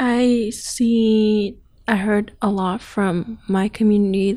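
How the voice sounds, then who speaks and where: A woman's medium-pitched voice with monotone, flat intonation, on a very clean recording with a silent background. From Thailand, Myanmar family. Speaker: refugee student.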